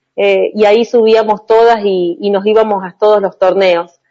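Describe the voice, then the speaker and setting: This woman has an unremarkable speaking voice, pitched fairly high, moving at a fairly slow pace with fairly even intonation. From Argentina, Chaco and Santa Fe province. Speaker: volleyball player. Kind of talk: interview. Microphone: connection dropped during call.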